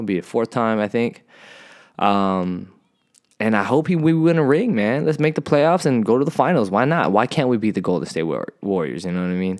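With an American accent, a man speaks at a fairly quick pace, using very wide pitch swings and big swings in loudness, on a very clean recording with a silent background. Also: medium pitch for a man. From San Diego, Southern California. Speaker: podcast host. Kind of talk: casual solo podcast talk. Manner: hesitant, many fillers.

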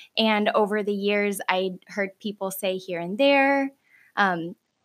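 Dry and close with no echo, a woman's medium-pitched voice shows ordinary pitch variation on a very clean recording with a silent background. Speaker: mother, host's wife. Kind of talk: casual interview. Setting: podcast studio.

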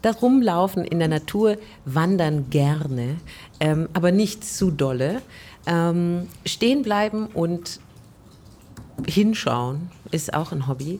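In a dark, mellow tone, the voice moves at a very slow pace with lively intonation and long, frequent pauses. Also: woman, fairly low pitch for a woman. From Stuttgart, Germany. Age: 40s. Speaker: jazz singer and vocal teacher. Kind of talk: casual interview. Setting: covered terrace outdoors, raining.

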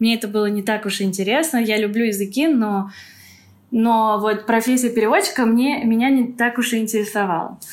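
A woman with a fairly high pitch talks with ordinary pitch variation. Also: moderate pace. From Moscow, Russia. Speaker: repatriate, winery worker. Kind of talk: interview. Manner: hesitant, filler-heavy.

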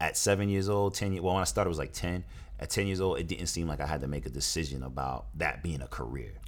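A man with an American accent speaks at a very fast pace in a very deep, low pitch. His intonation is lively, and vocal fry runs through his voice. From New Jersey and Brooklyn, New York. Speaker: actor and producer. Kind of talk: interview.

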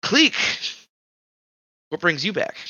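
The pitch is fairly high. The voice is a put-on character voice. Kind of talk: greeting, welcoming.

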